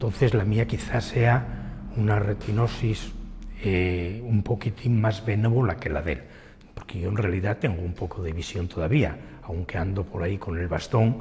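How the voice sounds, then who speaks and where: Noticeable background noise runs under speech delivered at a moderate pace, its pitch variation ordinary. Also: man, fairly low pitch for a man. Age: 60s. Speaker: person living with retinitis pigmentosa. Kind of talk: documentary interview testimony.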